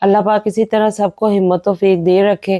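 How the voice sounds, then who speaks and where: A woman speaks at a fairly slow pace in a medium pitch, with a dark, mellow tone and fairly even intonation, in a very clean recording with a silent background and a dry, close sound with no echo. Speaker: homemaker vlogger. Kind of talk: vlog voiceover narration.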